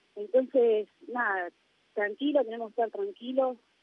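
A woman talks at a moderate pace. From Argentina. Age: 20s. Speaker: professional footballer. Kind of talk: interview.

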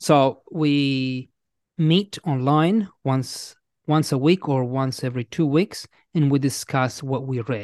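A man with an Italian accent, fairly high in pitch, at a very slow pace with ordinary pitch variation, over a quiet background. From Italy. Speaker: English teacher and author. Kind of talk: casual interview chat. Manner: friendly, hesitant with fillers.

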